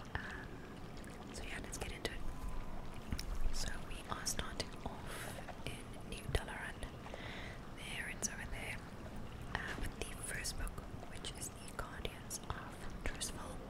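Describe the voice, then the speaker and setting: Someone whispers. The pace is very slow. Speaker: ASMR gaming streamer. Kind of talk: casual talk to camera. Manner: whispered, soft. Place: home room.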